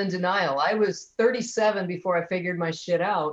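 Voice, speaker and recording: A woman talks at a moderate pace in a normal speaking voice, with ordinary pitch variation. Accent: American. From US Midwest, Detroit. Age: 50s. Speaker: comedian. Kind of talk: casual chat.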